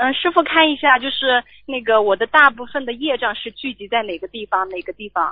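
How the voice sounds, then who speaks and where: Speaking at a fairly quick pace, a woman uses a high voice with lively intonation and big swings in loudness. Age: 20s. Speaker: radio call-in listener. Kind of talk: call-in consultation.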